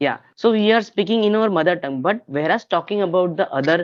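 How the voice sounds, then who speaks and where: A man speaks with a Marathi accent. His intonation is lively. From India, Maharashtra. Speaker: English learner on practice call. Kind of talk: casual chat. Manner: halting.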